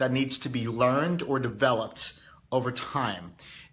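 This is an ordinary speaking voice from a man, fairly high in pitch. He talks fairly slowly with ordinary pitch variation. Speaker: YouTube host and motivational speaker. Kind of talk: casual daily monologue to audience.

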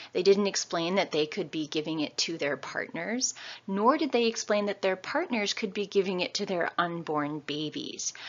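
In an American accent and an ordinary speaking voice, the speaker goes at a moderate pace with lively intonation and hardly any pauses. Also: woman, medium pitch for a woman. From New York State. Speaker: lecturer. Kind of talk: lecture. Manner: casual.

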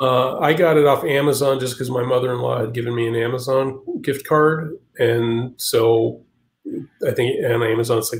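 A somewhat breathy man speaks at a moderate pace and medium pitch with fairly even intonation. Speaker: comic artist. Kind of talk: casual chat.

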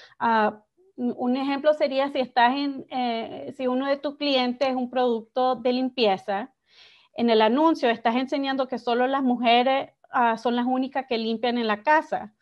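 Against a quiet background, a woman speaks fairly slowly in a high voice with fairly even intonation. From Miami, Nicaraguan family. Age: young. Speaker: advertising executive; guest. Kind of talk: interview. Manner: halting, many fillers. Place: home room. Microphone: video call.

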